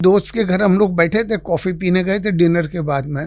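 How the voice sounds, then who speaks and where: The male speaker's intonation is lively. He uses a high pitch. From Gujarat, India (Vadodara). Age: 70s. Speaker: hotel founder and businessman. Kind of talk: interview. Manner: soft-spoken.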